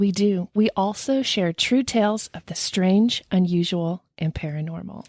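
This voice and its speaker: In a dry, close recording with no echo, a woman with a plain, everyday voice speaks at medium pitch and a fairly slow pace, with hardly any pauses, ordinary pitch variation and big swings in loudness. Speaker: podcast host. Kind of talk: podcast intro.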